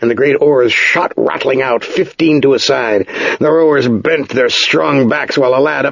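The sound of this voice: An unforced reading voice, pitch varying in an ordinary way.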